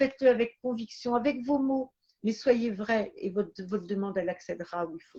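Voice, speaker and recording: A woman talks at a moderate pace in a fairly high, somewhat breathy voice with a dark, mellow tone, ordinary pitch variation and big swings in loudness. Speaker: medium. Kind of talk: live stream talk. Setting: live stream. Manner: halting.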